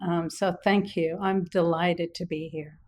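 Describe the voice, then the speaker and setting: A woman talks at a fairly slow pace. Her pitch is medium, with ordinary pitch variation. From Quebec, Canada. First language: French. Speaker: business director. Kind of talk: interview.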